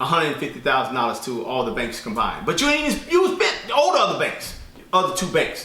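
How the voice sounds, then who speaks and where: A man with a fairly high voice talks at a fairly quick pace, with audible room echo and noticeable background noise. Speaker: herbalist and business credit teacher. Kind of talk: casual tutorial vlog. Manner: fast; halting with fillers and repeats.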